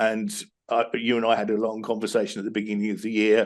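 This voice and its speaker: A man with a British accent, medium-pitched and fairly quick. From UK. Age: 50s. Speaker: business coach. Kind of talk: interview. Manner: halting, many repetitions.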